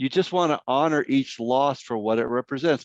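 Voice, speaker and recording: A man with an American accent uses an ordinary speaking voice at medium pitch with ordinary pitch variation, in a dry, close sound with no echo and a quiet background. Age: 60s. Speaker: grief counselor, workshop speaker. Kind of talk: workshop Q&A answers. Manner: conversational.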